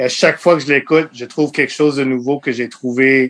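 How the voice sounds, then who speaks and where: Talking at a moderate pace with fairly even intonation, a man has a plain, everyday voice. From Montreal, Quebec (anglophone west end, Côte-Saint-Luc). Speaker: sports journalist and editor. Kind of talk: casual interview.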